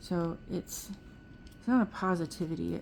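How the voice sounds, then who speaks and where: At a fairly slow pace, a woman speaks at a medium pitch with a dark, mellow tone. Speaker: nail art youtuber. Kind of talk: tutorial. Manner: monotone; halting.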